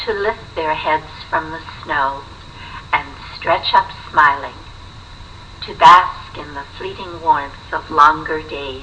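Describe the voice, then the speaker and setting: Against noticeable background noise, a woman speaks at a very slow pace with long, frequent pauses and big swings in loudness. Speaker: poet reading her own poetry collection. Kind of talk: poetry reading.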